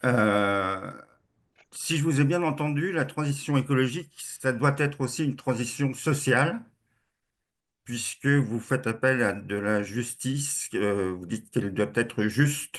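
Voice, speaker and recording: Against a quiet background, a man of medium pitch talks at a fairly slow pace with ordinary pitch variation and long, frequent pauses. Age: 60s. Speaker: webinar participant. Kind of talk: question in online debate.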